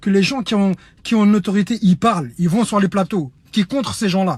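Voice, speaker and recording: A loud, high-pitched male voice with ordinary pitch variation. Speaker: humanitarian activist. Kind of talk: online video appeal.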